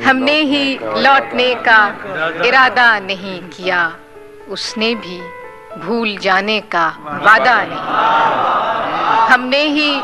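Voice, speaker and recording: Clear music plays in the background. Over it, a woman speaks at a fairly high pitch with lively intonation. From Pakistan. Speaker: poet. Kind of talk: poetry reading at a mushaira. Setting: live audience.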